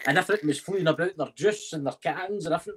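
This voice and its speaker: Here is a man with a Scottish accent. He talks very fast with ordinary pitch variation. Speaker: paranormal investigator. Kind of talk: casual chat.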